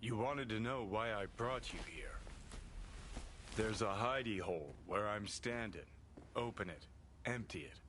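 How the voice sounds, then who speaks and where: Using a put-on character voice, a man speaks at a medium pitch and a moderate pace. Long, frequent pauses come through over clear background noise. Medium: video game. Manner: terse, clipped sentences.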